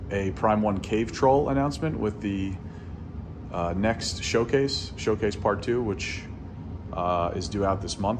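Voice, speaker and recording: A man's fairly low voice at a moderate pace, with ordinary pitch variation and noticeable background noise. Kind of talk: casual vlog chat. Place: empty room. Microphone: phone near.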